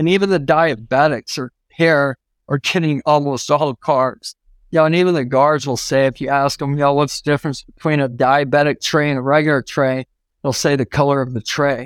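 A man with an unremarkable speaking voice is heard in a very clean recording with a silent background, the sound dry and close with no echo. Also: fairly high pitch for a man, fairly even intonation, moderate pace. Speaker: civil rights attorney. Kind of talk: casual interview. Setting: studio.

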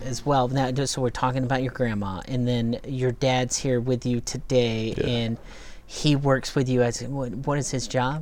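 A woman's very deep, low voice in a monotone, flat delivery at a moderate pace. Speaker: podcast host. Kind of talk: interview. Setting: studio.

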